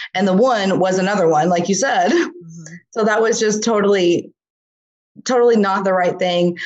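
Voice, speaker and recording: A woman's unremarkable speaking voice, medium in pitch, at a moderate pace with ordinary pitch variation. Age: 30s. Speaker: small business owner. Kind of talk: casual chat.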